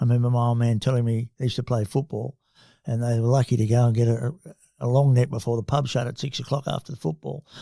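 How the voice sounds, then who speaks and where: With an Australian accent, a man talks very fast at a medium pitch in a dark, mellow, somewhat breathy voice. The sound is dry and close, without echo. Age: 70s. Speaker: company chairman and investor. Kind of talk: podcast interview. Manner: hesitant fillers.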